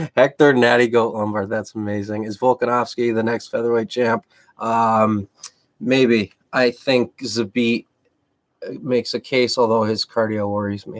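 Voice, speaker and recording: This man talks at a moderate pace in a Massachusetts accent, his pitch medium and his intonation monotone and flat. The sound is dry and close, with no echo. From Massachusetts, outside Boston. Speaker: MMA coach and commentator. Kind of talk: live stream Q&A. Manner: casual, halting.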